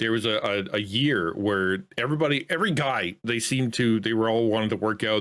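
A fairly low-voiced man with a Canadian accent, fairly quick in pace, with ordinary pitch variation against a quiet background. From Canada. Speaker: content creator. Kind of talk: casual chat. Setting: video call. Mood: relaxed, joking. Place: home room. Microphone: studio mic.

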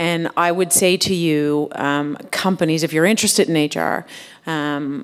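The background is quiet as a woman speaks. Her pitch is fairly low, with ordinary variation. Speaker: HR executive and part-time professor. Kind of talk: panel discussion. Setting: stage with audience. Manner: talkative. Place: hall. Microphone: podium.

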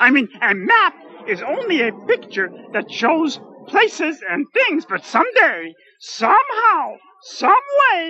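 A cartoonish character voice at an extremely high pitch, with very wide pitch swings and a fairly slow pace. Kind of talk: comic puppet sketch. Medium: puppet show. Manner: polite, earnest, dreamy, wordy.

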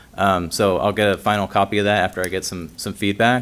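A soft-spoken man's fairly low pitch at a fairly quick pace, with fairly even intonation. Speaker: archaeologist. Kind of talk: presentation to city commission.

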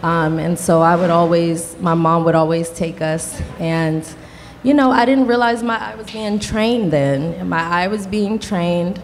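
A woman with an American accent speaks in a normal speaking voice, her pitch fairly low and her intonation lively, at a fairly slow pace over light background noise. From Washington, D.C. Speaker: gallerist; panelist. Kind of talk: panel discussion. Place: hall. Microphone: handheld.

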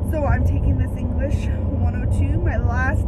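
There is loud noise in the background. Over it, a woman talks fairly slowly. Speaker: college student vlogger. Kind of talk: casual vlog chat. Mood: animated storytelling. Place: car. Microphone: phone near.

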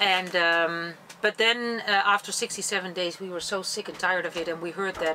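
A woman at a fairly quick pace, with light background noise. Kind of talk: interview answer. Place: boat.

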